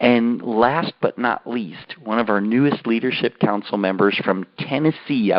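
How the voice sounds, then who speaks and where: A man with an American accent speaks at a fairly slow pace in a normal speaking voice, his medium pitch showing ordinary variation. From California. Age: 60s. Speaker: company co-founder and call host. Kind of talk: conference call hosting. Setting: phone conference call.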